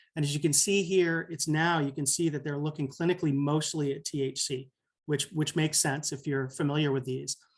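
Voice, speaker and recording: At a fairly quick pace, a man talks in a fairly high pitch, somewhat breathy and with fairly even intonation. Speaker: physician presenter. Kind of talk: software demo presentation. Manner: fast.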